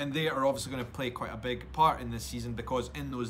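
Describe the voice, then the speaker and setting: A man speaks with a Scottish accent. His pitch is medium. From Edinburgh, Scotland. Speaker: YouTube vlogger, podcast host. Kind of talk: casual podcast talk.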